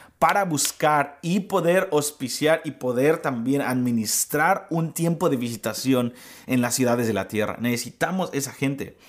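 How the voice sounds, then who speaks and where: Heard on a very clean recording with a silent background, a man speaks in a plain, everyday voice at medium pitch, with ordinary pitch variation and a fairly slow pace. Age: 30s. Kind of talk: devotional teaching.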